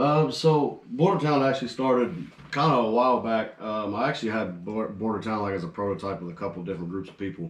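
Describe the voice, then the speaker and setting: Amid audible room echo, a man of medium pitch talks very fast with lively intonation and big swings in loudness. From US Midwest, Danville, Illinois. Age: 20s. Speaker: rock band lead singer. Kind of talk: casual chat.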